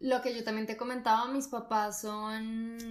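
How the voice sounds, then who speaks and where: Her voice fairly high, a woman speaks in a monotone, flat intonation. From Colombia. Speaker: actress. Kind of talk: casual chat.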